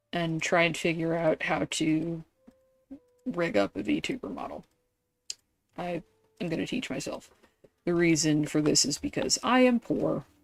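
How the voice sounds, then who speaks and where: A woman speaks fairly slowly at a fairly low pitch, leaving long, frequent pauses. Her pitch swings very widely. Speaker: gaming streamer. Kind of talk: live gameplay stream chat.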